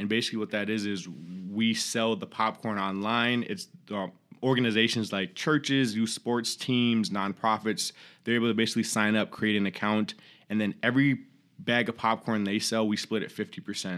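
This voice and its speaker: A man with an ordinary speaking voice talks at a medium pitch and moderate pace with fairly even intonation. The recording is very clean with a silent background. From Minnesota, Rochester. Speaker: small business owner. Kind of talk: interview.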